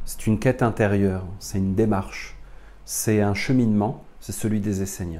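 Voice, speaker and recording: With a dark, mellow tone and fairly low pitch, a man talks at a moderate pace with fairly even intonation, and audible room echo surrounds the voice. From France. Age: 40s. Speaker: spiritual teacher. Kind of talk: lecture.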